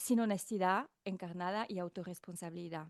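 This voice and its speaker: A woman's dark, mellow voice with a slight French accent, fairly slow and with ordinary pitch variation, in a dry, close sound with no echo. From France. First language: not Spanish (speaking Spanish). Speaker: podcast host, guest. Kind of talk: casual chat. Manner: fluent.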